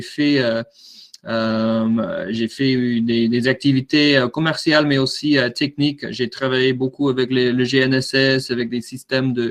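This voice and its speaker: A man speaks at a very slow pace in a medium pitch, with monotone, flat intonation. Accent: American. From USA. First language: English (speaking French). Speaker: drone product manager. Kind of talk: webinar presentation. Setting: online webinar. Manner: halting, many fillers and repetitions.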